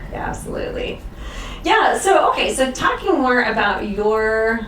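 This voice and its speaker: With an American accent, a woman talks amid noticeable background noise and audible room echo. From Northern Virginia. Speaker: talk show host, former ballerina. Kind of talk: talk show interview. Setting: stage with live audience.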